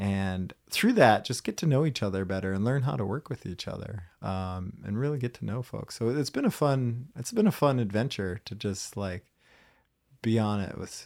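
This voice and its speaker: With an American accent and a normal speaking voice, a man talks at a fairly quick pace with ordinary pitch variation, recorded very cleanly against a silent background with a dry, close sound and no echo. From US Midwest. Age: 40s. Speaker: astronaut candidate. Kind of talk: casual interview.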